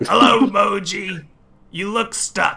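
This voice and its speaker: A man puts on a character voice. His pitch sits extremely high. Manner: helpful, friendly.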